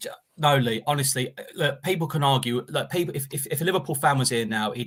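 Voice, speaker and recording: A man rattles along at a very fast pace, his medium pitch showing ordinary variation. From Enfield, North London. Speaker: football pundit. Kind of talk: casual chat. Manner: animated.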